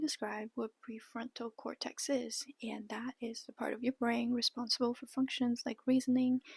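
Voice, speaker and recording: In a Chinese accent, a woman speaks at a high pitch and a moderate pace. Her intonation is monotone and flat, and the sound is dry and close with no echo. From China, Shanghai. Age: 20s. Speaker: vlogger. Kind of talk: casual vlog monologue. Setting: childhood bedroom at parents' home.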